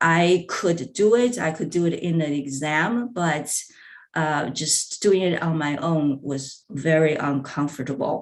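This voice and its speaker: A woman with a Chinese accent speaks at a very deep, low pitch and a fairly slow pace, with ordinary pitch variation and audible room echo. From China. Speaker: language professor. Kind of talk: conference presentation. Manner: halting, many fillers.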